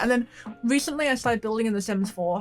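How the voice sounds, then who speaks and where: A woman with an English accent sounds somewhat breathy, her pitch varying in an ordinary way. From England. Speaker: gaming YouTuber. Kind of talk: voiceover commentary. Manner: casual, hesitant with fillers.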